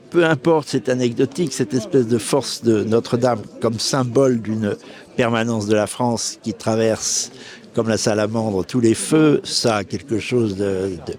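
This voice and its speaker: The speaker is a man with a medium pitch. He talks at a moderate pace over noticeable background noise. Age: 60s. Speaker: author interviewed as spectator. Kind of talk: street interview. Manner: animated.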